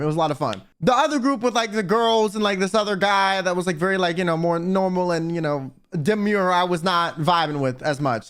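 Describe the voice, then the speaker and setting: A man with an American accent speaks very fast in an animated tone, high-pitched with very wide pitch swings. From United States. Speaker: vtuber. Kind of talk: casual storytelling.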